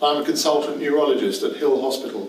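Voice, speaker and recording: A man with a medium pitch speaks at a fairly quick pace with ordinary pitch variation. Audible room echo and noticeable background noise fill the recording. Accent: London. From London, England. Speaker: novelist and professor. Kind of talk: reading aloud. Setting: stage with audience.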